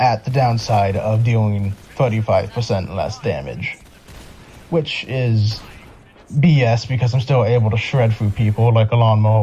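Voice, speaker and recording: Against noticeable background noise, a man speaks at a moderate pace with fairly even intonation, very even loudness and long, frequent pauses. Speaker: gaming video narrator. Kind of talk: scripted narration. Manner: sped up; casual, halting.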